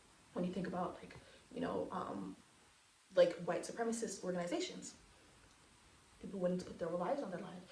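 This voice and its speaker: In a room with audible echo, a woman with an animated tone talks at a very fast pace, leaving long, frequent pauses. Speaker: aspiring counselor and spiritual educator. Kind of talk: monologue lecture to camera.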